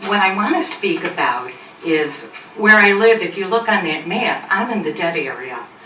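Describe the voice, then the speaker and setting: Noticeable background noise and audible room echo surround the recording. A woman with a medium pitch speaks at a moderate pace. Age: 70s. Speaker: resident speaking at public comment. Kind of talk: public comment at town meeting. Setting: town board meeting.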